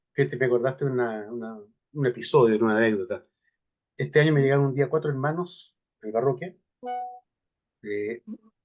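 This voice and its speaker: Music plays in the background as a man of medium pitch talks at a fairly quick pace with ordinary pitch variation. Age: 60s. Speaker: priest giving a seminar talk. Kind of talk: question and answer after a talk.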